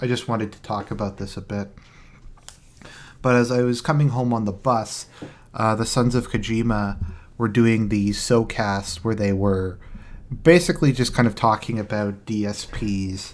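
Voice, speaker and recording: A soft-spoken delivery at a moderate pace, with long, frequent pauses, on a very clean recording with a silent background. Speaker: commentary streamer. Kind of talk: casual live stream commentary. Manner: quiet, soft-spoken.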